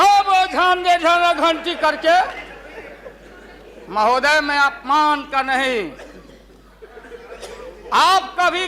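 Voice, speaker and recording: Noticeable background noise behind a man's raised, projected voice, extremely high-pitched, with lively intonation. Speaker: politician. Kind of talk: parliament speech. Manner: humorous, storytelling.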